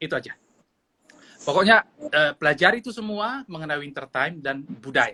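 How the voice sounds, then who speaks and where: With a North Sumatran accent, a man speaks at a fairly quick pace in a dry, close sound with no echo. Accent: Batak Indonesian. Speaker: friend joining live. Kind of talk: casual live chat. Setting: Instagram live video call, at home.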